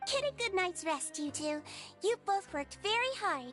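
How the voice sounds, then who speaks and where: With clear music in the background, a woman uses a squeaky, put-on character voice at an extremely high pitch and a moderate pace. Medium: cartoon. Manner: gentle, warm, soft-spoken.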